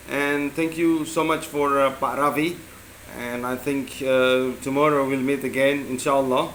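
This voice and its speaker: Amid noticeable background noise and audible room echo, a man speaks at a fairly slow pace with a fairly high pitch and flat, monotone intonation. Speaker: English teacher. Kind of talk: spoken assignment reflection. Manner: halting, many fillers; loud.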